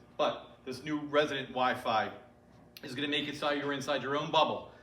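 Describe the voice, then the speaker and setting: Speech comes at a very fast pace. Audible room echo and noticeable background noise fill the recording. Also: man. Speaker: IT manager. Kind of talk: community meeting presentation. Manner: loud. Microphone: speaking without a microphone.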